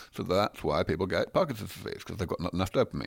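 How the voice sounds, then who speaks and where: A man with a southern English accent on a very clean recording with a silent background. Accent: southern English (British). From London, England. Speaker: scientist. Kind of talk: interview.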